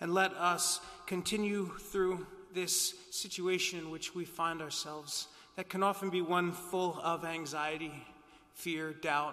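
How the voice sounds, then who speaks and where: A man's high-pitched, solemn, gentle voice, monotone and flat, at a fairly slow pace against a quiet background. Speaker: priest. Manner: formal, solemn, gentle. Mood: calm, reassuring. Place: church.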